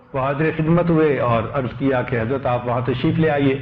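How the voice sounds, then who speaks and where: Noticeable background noise behind a man speaking at a medium pitch. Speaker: Islamic scholar giving a religious sermon. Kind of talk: Islamic sermon (bayan) on humility and anonymity.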